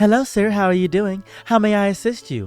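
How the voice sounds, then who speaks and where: At a fairly quick pace, a female-sounding voice uses a put-on character voice at a medium pitch for a woman. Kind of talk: proper, polite. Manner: courteous, professional.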